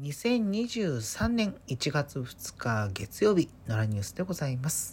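The speaker talks at a very slow pace in a relaxed, somewhat breathy tone with very wide pitch swings. The recording is very clean, with a silent background. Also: woman. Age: 30s. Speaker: podcaster. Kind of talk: solo casual monologue. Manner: relaxed, chatty.

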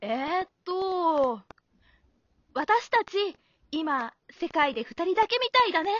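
In a put-on character voice, a woman speaks with an extremely high pitch and big pitch swings. Her tone is fairly bright, and her pace is slow.

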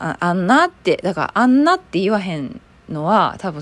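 The woman talks at a medium pitch, her voice making very wide pitch swings. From Kobe, Hyogo, Japan. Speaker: actor and solo podcaster. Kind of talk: casual solo talk.

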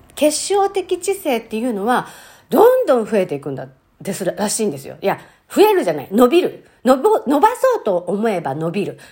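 Her loudness rising and falling sharply, a woman talks at a medium pace. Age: 50s. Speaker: podcast host. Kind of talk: casual monologue. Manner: chatty with frequent fillers.

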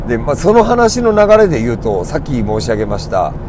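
Against noticeable background noise and audible room echo, a man speaks with a fairly high pitch and very wide pitch swings. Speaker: game arcade clerk and podcast host. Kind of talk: casual solo talk. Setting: in a car. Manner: loud, raised voice.

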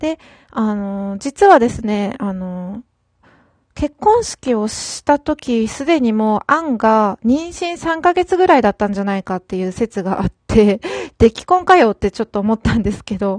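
Very wide pitch swings from a woman at a fairly high pitch. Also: fairly slow pace, dry, close sound with no echo, quiet background. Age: 30s. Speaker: solo podcaster. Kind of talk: casual solo talk. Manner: hesitant, frequent fillers.

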